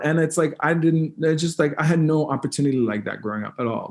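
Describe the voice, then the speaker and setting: Talking at a fairly quick pace with lively intonation, a man with a Canadian accent has a normal speaking voice and a fairly high pitch. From New Brunswick, Canada (First Nation). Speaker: musician. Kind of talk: interview conversation. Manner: many fillers and repetitions.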